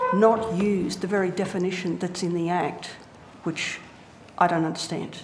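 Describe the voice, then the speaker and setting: A woman with an Australian accent speaks at a medium pitch and a fairly slow pace. Audible room echo and noticeable background noise surround her voice. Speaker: internet advocacy group witness. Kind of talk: parliamentary committee testimony. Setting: committee hearing room. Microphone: too quiet, hard to hear.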